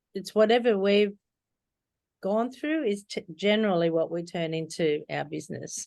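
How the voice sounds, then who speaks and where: A woman speaks at a moderate pace in an Australian accent. Her intonation is lively. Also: medium pitch for a woman. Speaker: book coach. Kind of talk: interview.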